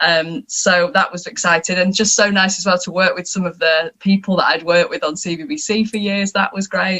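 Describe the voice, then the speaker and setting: A woman with a northern English accent at a medium pitch, with ordinary pitch variation, a fairly quick pace and hardly any pauses. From northern England. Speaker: TV and radio presenter. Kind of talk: panel discussion.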